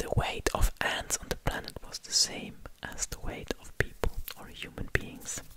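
A man whispers at a moderate pace. Loud background noise surrounds him. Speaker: ASMR creator. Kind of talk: soft-spoken ASMR fact talk. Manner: close-mic ASMR whisper. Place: studio. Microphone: studio mic.

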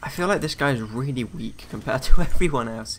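At a very fast pace, a man with a British accent speaks at a medium pitch in a bright, sharp tone. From UK. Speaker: gaming YouTuber. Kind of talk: let's play commentary. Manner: casual, filler-heavy.

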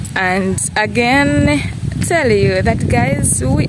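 Loud background noise with a dry sound and no echo. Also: woman. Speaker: village vlogger. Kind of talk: casual vlog chat. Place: open country. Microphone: phone near.

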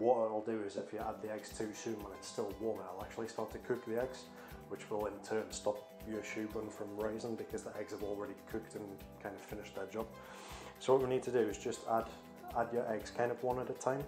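Clear music plays in the background as a man talks at a fairly quick pace, his pitch fairly low and his intonation fairly even. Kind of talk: tutorial. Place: kitchen.

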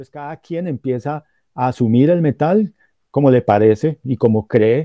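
A man with a fairly high pitch for a man and ordinary pitch variation has an ordinary speaking voice, recorded dry with no echo against a quiet background. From Colombia, Cúcuta and Pamplona (Norte de Santander); Norte de Santander, Colombia. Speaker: professor and metal journalist; professor, metal journalist. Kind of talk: lecture-style talk in a streamed panel. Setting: video call. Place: home room. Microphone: video call.

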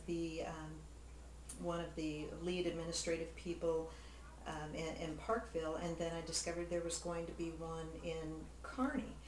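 A woman is speaking. Audible room echo and light background noise accompany her voice. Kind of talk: interview answer. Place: home room. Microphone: camera far.

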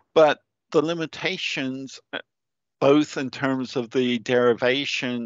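A man speaks at a medium pitch in an unremarkable speaking voice. His pace is fairly slow, with fairly even intonation. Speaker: geotechnical engineer. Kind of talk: presentation.

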